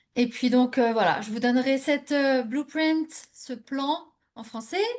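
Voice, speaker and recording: A woman with a high-pitched voice speaks at a very slow pace, her loudness going through big swings. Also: ordinary pitch variation. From France, Normandy. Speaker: immigration coach. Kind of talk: webinar presentation. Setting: live online webinar. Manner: hesitant, many fillers.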